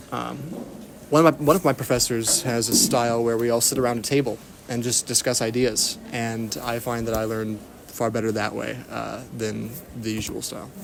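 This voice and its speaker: With music in the background, a man with an American accent speaks at a moderate pace in a medium pitch, keeping his intonation fairly even. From Texas. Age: 20s. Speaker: university student. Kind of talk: interview. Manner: halting, many fillers.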